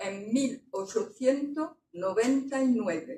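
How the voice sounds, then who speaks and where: This woman's voice is somewhat breathy. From France. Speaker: author. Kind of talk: book presentation talk.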